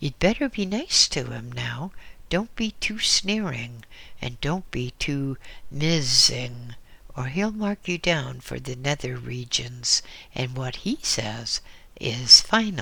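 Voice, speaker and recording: A man's put-on character voice at medium pitch, delivered at a fairly slow pace. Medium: read story. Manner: folksy, teasing.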